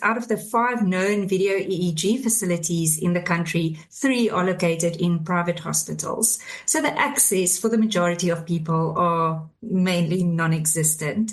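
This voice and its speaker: A moderate pace with hardly any pauses, ordinary pitch variation and very even loudness, against noticeable background noise. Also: woman. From South Africa. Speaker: FND clinician and panelist. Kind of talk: panel discussion.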